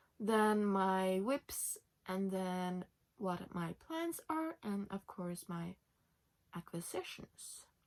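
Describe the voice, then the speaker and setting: Speaking with a Norwegian accent, a woman uses lively intonation. Her pace is very slow. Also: medium pitch for a woman. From Norway. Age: 20s. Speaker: knitting podcaster. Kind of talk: casual podcast chat. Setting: home, sitting in bed.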